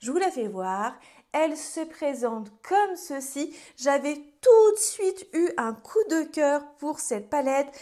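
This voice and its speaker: A woman with a high pitch and a dark, mellow tone, very wide pitch swings and a very slow pace, over a quiet background. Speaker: beauty YouTuber. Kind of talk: casual vlog-style product review. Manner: chatty, hesitant with many fillers. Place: home room.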